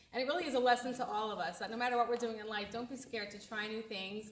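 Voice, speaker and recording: Someone talks at a very fast pace in an American accent, keeping a fairly even intonation over noticeable background noise. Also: woman. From USA. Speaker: event organizer introducing a comedian. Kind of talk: introduction speech.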